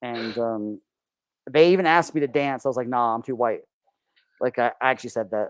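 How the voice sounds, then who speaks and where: A man is talking. He has a slight Southern US accent. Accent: slight Southern twang. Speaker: Orthodox seminarian. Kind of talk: casual chat. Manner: halting, many fillers.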